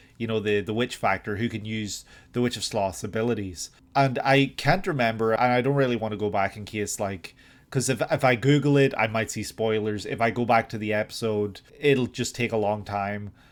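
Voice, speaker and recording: In a very clean recording with a silent background, a man speaks at a moderate pace with an Irish accent. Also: medium pitch for a man, ordinary pitch variation. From Ireland. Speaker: anime reaction youtuber. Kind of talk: reaction analysis monologue. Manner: halting.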